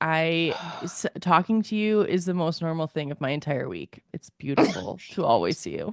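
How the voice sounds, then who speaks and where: A woman's put-on character voice, nasal and fairly low in pitch, at a moderate pace. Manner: warm, friendly greeting.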